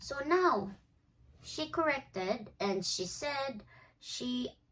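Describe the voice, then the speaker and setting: This woman speaks with a Filipino accent. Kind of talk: casual talk to camera.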